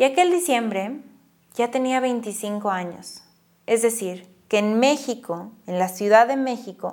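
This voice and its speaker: Very slow pace with ordinary pitch variation. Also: woman. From northern Mexico (Monclova, Coahuila). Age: 20s. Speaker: podcast host, writer and actress. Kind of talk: guided reflection; personal storytelling monologue.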